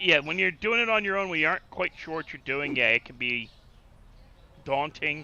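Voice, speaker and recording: A man with a New Jersey accent, fairly high-pitched for a man, at a moderate pace with very wide pitch swings and big swings in loudness. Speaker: gaming streamer. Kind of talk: casual chat while gaming.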